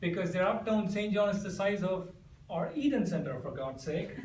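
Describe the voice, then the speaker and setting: A man with an Indian accent speaks at a moderate pace in a high pitch, his tone animated and his intonation lively. The recording has noticeable background noise and audible room echo. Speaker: amateur comedic speaker. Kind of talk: humorous contest speech.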